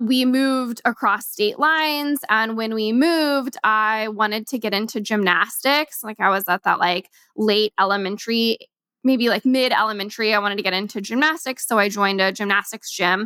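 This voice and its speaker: In a plain, everyday voice, a woman talks at a moderate pace with a fairly high pitch and ordinary pitch variation. The sound is dry and close, with no echo. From Kansas. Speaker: podcast host and entrepreneur. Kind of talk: casual solo podcast talk. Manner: casual, filler-heavy.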